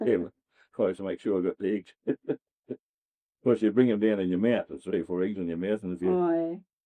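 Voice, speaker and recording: A man with an Australian accent speaks at a very fast pace in a fairly low voice, pausing often and at length. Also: lively intonation. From Western Australia. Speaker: farmer. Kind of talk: oral history interview answer. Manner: casual, reminiscing.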